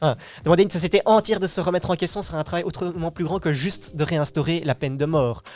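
Talking at a very fast pace, a man uses a high voice with ordinary pitch variation. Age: 20s. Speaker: youth radio participant. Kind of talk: casual debate.

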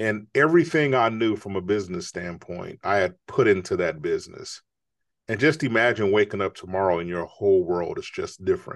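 With an American accent and an ordinary speaking voice, a man talks at a fairly quick pace with a fairly low pitch and lively intonation against a quiet background. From Chicago. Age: 50s. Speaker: author and entrepreneur. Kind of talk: interview.

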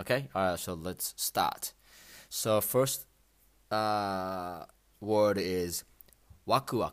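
A man with a Japanese accent speaks very slowly at a fairly low pitch with ordinary pitch variation and long, frequent pauses, in a very clean recording with a silent background. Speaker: Japanese language teacher podcaster. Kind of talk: language lesson. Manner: halting with many fillers.

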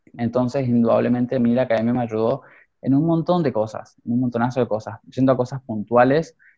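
In an ordinary speaking voice, a man talks at a fairly quick pace with a medium pitch and fairly even intonation. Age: 20s. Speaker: fashion designer and youth academy director. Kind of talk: interview.

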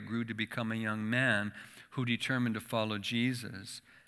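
A man talks at a moderate pace in a medium pitch with a bright, sharp tone and monotone, flat intonation. The recording is very clean with a silent background. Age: 60s. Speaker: church association leader, former missionary. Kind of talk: sermon. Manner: halting.

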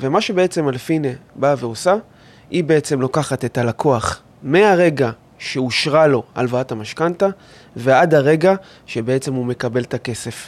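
A man's fairly high voice at a fairly slow pace, with ordinary pitch variation and long, frequent pauses. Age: 30s. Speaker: mortgage adviser and company owner. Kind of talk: interview.

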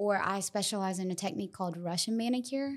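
The voice carries a Southern US accent and ordinary pitch variation on a very clean recording with a silent background. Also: woman. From US South (South Carolina). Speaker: nail technician and salon co-founder. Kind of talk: casual chat.

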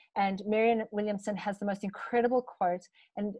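A woman with a fairly high voice talks at a moderate pace. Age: 30s. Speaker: wellness coach. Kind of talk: interview.

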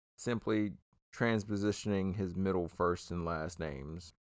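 A man with an unremarkable speaking voice and ordinary pitch variation, against a quiet background. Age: 30s. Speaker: true crime comedy podcast host. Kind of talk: casual true crime storytelling.

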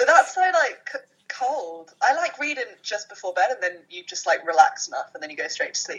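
A woman talks at a moderate pace. Her pitch swings very widely, and her loudness shifts a lot. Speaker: podcast co-host. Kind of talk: casual chat. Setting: phone recording.

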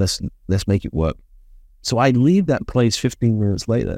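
The voice has a dark, mellow tone and moves at a fairly quick pace with a British accent, recorded dry and close with no echo on a very clean track with a silent background. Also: man. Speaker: business consultant and speaker. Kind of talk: interview.

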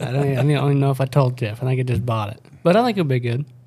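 At a fairly quick pace, a man uses a normal speaking voice with medium pitch. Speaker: podcast host, outdoor video producer. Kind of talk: casual chat.

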